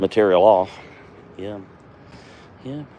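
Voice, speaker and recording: Against noticeable background noise, a man with an American accent speaks in a relaxed tone at a moderate pace. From US East Coast, Virginia. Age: 60s. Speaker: woodcarving livestreamer, retired mail carrier. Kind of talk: casual live stream chat while carving. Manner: relaxed, halting with fillers.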